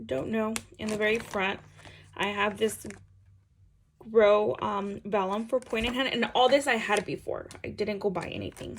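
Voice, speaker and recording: A woman with a fairly high pitch and vocal fry speaks in an animated tone at a moderate pace, using ordinary pitch variation, with long, frequent pauses. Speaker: planner vlogger. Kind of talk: casual chat.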